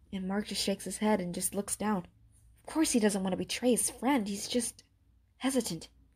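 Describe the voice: Someone simply reads aloud. The pitch rises and falls in a normal way.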